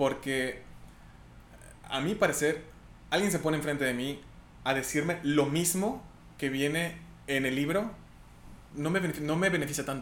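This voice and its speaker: Long, frequent pauses break up the speech, and room echo is audible. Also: man, fairly high pitch for a man, ordinary pitch variation, moderate pace. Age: 20s. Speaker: medical researcher. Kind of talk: casual interview.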